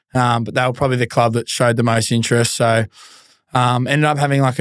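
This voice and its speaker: A man with an Australian accent, medium in pitch, his intonation monotone and flat. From Australia, Melbourne. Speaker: former pro footballer. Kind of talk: casual chat.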